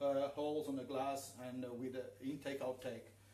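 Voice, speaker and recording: Over noticeable background noise and audible room echo, the speaker talks with a Portuguese accent. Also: man. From northern Portugal. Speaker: aquascaper giving a workshop. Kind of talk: live demonstration workshop. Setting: live stream in showroom. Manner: halting, many fillers. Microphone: too quiet.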